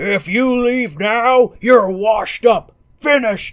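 The speaker puts on a character voice with a pompous tone. It is fairly high in pitch and delivered at a fairly slow pace. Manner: pompous, bullying.

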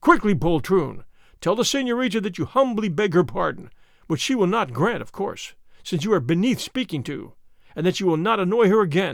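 A man puts on a character voice pitched high, with vocal fry and big pitch swings. He keeps a moderate pace.

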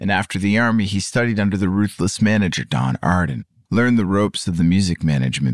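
With lively intonation, a natural reading voice comes through.

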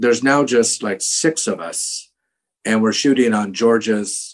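Here a man with an American accent has an unremarkable speaking voice. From US West Coast. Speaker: actor. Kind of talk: casual interview.

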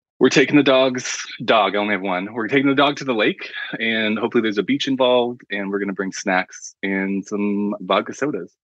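The delivery moves at a fairly quick pace with ordinary pitch variation. It is an unremarkable speaking voice. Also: man, fairly low pitch for a man. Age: 30s. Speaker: artist and graphic designer. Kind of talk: casual chat.

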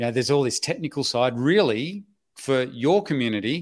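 A man with an Australian accent, talking at a fairly quick pace, his intonation lively. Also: dry, close sound with no echo. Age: 50s. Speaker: online business educator and website investor. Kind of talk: interview. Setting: livestream video call.

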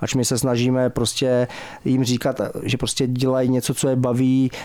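This voice belongs to a man. It lands at a medium pitch. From Czech Republic, Pardubice. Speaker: football goalkeeping coach and sports manager. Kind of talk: radio interview. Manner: halting.

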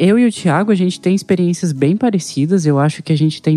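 The tone is dark and mellow. Delivery is fairly quick, with ordinary pitch variation. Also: man. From Anápolis, Goiás, Brazil. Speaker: podcast co-host. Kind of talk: casual podcast chat.

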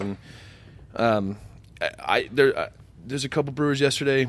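A man with fairly even intonation. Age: 30s. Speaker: brewery co-founder. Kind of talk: casual chat.

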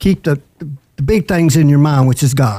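Fairly high for a man, his voice is somewhat breathy with a dark, mellow tone, moving at a fairly quick pace with ordinary pitch variation. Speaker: podcast co-host. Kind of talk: testimony.

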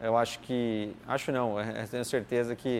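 A man talks at a medium pitch, his intonation monotone and flat. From Brazil, São Paulo state interior. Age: 30s. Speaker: racing driver and driving coach. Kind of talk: interview. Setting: at a kart track. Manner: hesitant, many fillers.

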